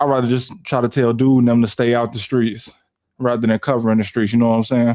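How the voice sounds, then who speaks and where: With an American accent, a man speaks at a very fast pace and medium pitch in a dark, mellow tone. His intonation is monotone and flat, and his loudness very even. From Chicago. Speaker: YouTuber and live streamer. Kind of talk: casual live stream chat. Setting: live stream from home PC. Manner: casual, conversational.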